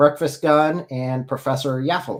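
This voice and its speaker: At a moderate pace, a man talks in a plain, everyday voice with a medium pitch. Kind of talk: live stream call-in debate wrap-up. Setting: live stream.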